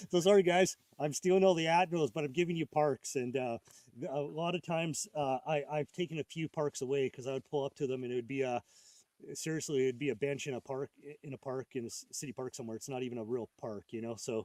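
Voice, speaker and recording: A man's fairly high voice at a very fast pace, with ordinary pitch variation and a dry, close sound with no echo. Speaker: ham radio operator and live streamer. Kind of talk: casual live stream chat. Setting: outdoors at a park, live stream. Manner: halting; loud.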